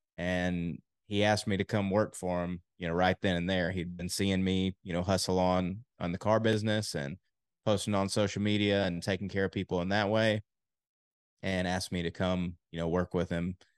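In an American accent, a man with a very deep, low pitch speaks at a moderate pace with monotone, flat intonation. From Texas. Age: 20s. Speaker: health insurance agent. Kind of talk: interview.

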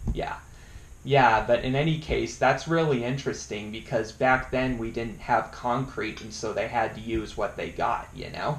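In an American accent, a man speaks at a fairly slow pace with audible room echo. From Colorado. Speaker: YouTube interviewer. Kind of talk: casual interview.

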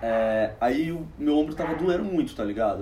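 A man speaks with ordinary pitch variation. Noticeable background noise and audible room echo surround him. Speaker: comedian. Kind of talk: casual chat. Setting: at home.

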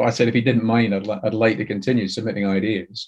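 A man with a Glaswegian accent speaks at a medium pitch. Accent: Glaswegian Scottish. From Scotland, Glasgow. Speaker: TV and audio drama writer. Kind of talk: interview.

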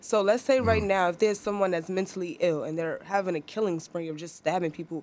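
A woman with a New York accent at a very fast pace, medium pitch and ordinary pitch variation, on a very clean recording with a silent background. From Harlem, New York. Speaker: photographer. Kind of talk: casual chat.

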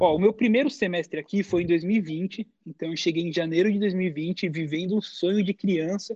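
A man speaks at a high pitch with fairly even intonation, his voice dry and close with no echo. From Brazil. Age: 20s. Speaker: college esports athlete and content creator. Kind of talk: casual interview.

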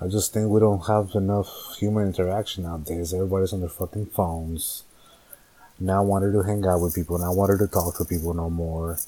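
A man speaks in a monotone with flat intonation. His voice is very deep and low, with an American accent. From Northern California. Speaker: podcaster. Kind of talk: casual monologue, solo podcast. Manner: casual, hesitant, filler words; candid, profane.

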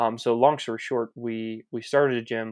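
Recorded with a dry, close sound with no echo against a quiet background, a man speaks at a medium pitch with an American accent. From US Mid-Atlantic, Maryland. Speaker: fitness coach and business owner. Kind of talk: casual interview.

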